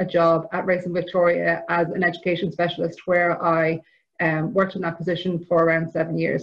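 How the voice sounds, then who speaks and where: Speaking at a moderate pace, a woman talks with an Irish accent. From Ireland. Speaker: equine therapy provider. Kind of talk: conference presentation.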